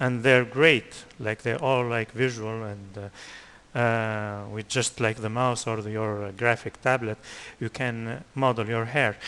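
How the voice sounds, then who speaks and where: With a non-native accent, a man speaks at a fairly slow pace. His intonation stays fairly even. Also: medium pitch for a man. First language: not English. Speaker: 3D animation teacher. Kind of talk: tutorial. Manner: halting, many fillers.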